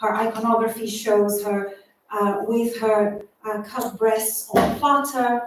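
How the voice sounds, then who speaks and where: In a Portuguese accent, a woman with a fairly high voice speaks very slowly and in a flat monotone, with audible room echo around her. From Brazil. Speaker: artist and doctoral researcher. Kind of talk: public talk at exhibition launch.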